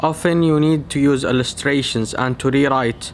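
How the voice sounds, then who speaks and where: A man's fairly high, monotone voice with flat intonation over noticeable background noise. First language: not English. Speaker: medical researcher / educational YouTuber. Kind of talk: tutorial.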